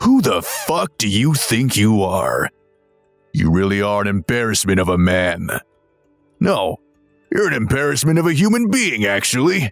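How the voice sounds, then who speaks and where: A put-on character voice from a man, angry in tone, medium in pitch, with very wide pitch swings and very even loudness, at a moderate pace over faint music in the background. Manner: contemptuous, angry, harsh.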